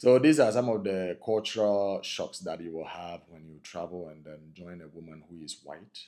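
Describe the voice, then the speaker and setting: A dark, mellow tone moves at a moderate pace with ordinary pitch variation. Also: man. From Ghana. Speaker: couple vlogger. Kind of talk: casual chat.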